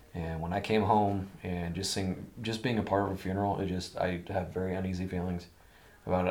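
With a Midwestern US accent, a man speaks at a moderate pace. His voice is very deep and low, with monotone, flat intonation. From Iowa. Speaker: veteran and outdoorsman. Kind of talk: casual chat.

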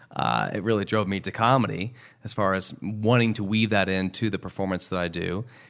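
Speaking in an ordinary speaking voice, a man has an American accent. His fairly low pitch shows ordinary pitch variation. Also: very clean recording, silent background. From Houston, Texas. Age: 30s. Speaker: magician. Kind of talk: interview. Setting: studio.

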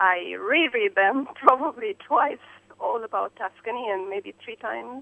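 Against noticeable background noise, a woman with an Eastern European accent speaks at a fairly slow pace in a fairly high pitch with lively intonation. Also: big swings in loudness. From Romania/Hungary, Eastern Europe. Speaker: caller. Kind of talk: radio call-in. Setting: phone call. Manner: emotional, effusive.

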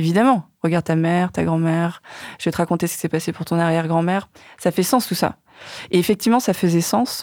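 At a fairly quick pace and with ordinary pitch variation, a woman is heard in a very clean, dry, close recording with a silent background and no echo. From Vietnamese family in France. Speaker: documentary filmmaker. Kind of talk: casual chat. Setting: studio. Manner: halting.

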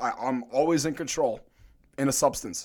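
This is an ordinary speaking voice with an American accent and ordinary pitch variation. The pace is moderate. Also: man. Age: 20s. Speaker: fitness coach. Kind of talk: casual chat. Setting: studio.

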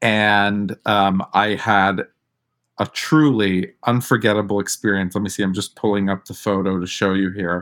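A normal speaking voice with an American accent talks at a moderate pace. The intonation stays fairly even. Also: man, fairly low pitch for a man. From New York. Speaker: drag performer and theater actor. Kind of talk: interview.

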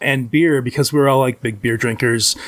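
With a Midwestern American accent, a man speaks at a moderate pace. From Michigan. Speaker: convention booth volunteer, podcaster. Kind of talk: casual chat.

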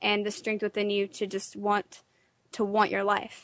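A woman with a plain, everyday voice speaks at medium pitch. The sound is dry and close with no echo, over a quiet background. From Texas. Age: 20s. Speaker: patient sharing illness story. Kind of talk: interview testimony. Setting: radio studio.

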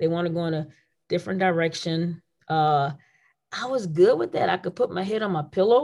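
A woman speaks in a normal speaking voice at a moderate pace with a fairly low pitch. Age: 50s. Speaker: basketball coach. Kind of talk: casual chat.

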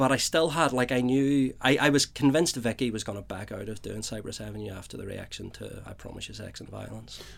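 A very fast man's voice with a Northern Irish accent, hardly any pauses and big swings in loudness, on a very clean recording with a silent background. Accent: Northern Irish (Belfast). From Belfast, Northern Ireland. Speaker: playwright. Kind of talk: interview.

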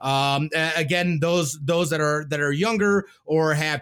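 With a bright, sharp tone, a man talks at a fairly high pitch using fairly even intonation. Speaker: podcast host. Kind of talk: casual interview chat.

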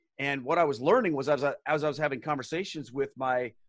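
On a very clean recording with a silent background, a man with a fairly high pitch talks at a fairly quick pace with ordinary pitch variation. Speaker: former Protestant pastor. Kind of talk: casual interview chat. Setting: video recording. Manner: animated, storytelling.

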